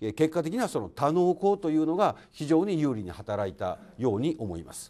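Pitch swings very widely and loudness rises and falls a lot, all at a moderate pace. The tone is dark and mellow against a quiet background. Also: man. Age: 50s. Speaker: construction company president. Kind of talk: lecture. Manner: formal. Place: hall. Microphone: handheld.

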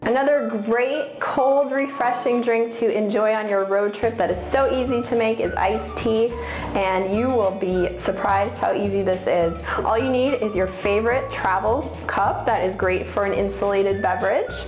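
A woman talks at a moderate pace with ordinary pitch variation. The room echoes audibly, and music plays clearly in the background. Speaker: presenter. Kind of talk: tutorial. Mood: cheerful, upbeat. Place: home room. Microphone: lapel.

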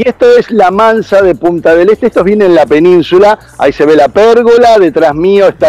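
A man talks with a high-pitched voice and ordinary pitch variation. The sound is dry, with no echo. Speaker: TV reporter. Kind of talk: live field report. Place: waterside. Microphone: earbuds.

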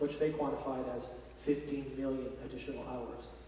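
With audible room echo, a man speaks at a medium pitch and a fairly quick pace, his pitch moving very little.

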